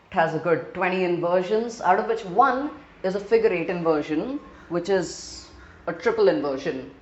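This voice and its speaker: Speaking at a moderate pace with an Indian accent, a woman uses lively intonation at a medium pitch, with noticeable background noise and audible room echo. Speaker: gaming video creator. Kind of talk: gameplay narration.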